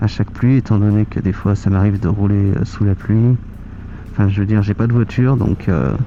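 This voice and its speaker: A soft-spoken man talks at a fairly quick pace with a fairly low pitch and fairly even intonation. His loudness stays very even, and noticeable background noise is present. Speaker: motorcycle vlogger. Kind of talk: casual vlog monologue while riding. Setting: riding a motorcycle outdoors. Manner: hesitant, many fillers.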